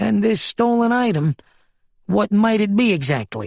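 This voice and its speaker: Someone performs a put-on character voice with lively intonation. The pace is moderate. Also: man. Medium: read story. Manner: precise, formal.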